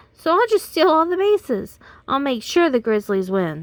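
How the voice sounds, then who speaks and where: A woman's put-on character voice, high-pitched with very wide pitch swings, at a moderate pace, in a dry, close sound with no echo. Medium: read story. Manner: earnest, innocent.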